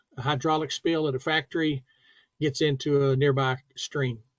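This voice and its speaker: At a moderate pace, a man speaks in a plain, everyday voice with a dry, close sound and no echo. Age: 60s. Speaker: safety instructor. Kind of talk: tutorial. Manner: casual.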